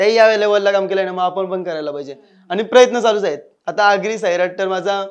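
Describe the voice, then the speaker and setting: The speaker is a man. His voice sits at a high pitch. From India, Panvel area (Maharashtra); Maharashtra. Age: 20s. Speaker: comedy YouTuber; interview guest, YouTube comedy actor. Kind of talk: interview. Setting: studio. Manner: casual, colloquial. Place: studio.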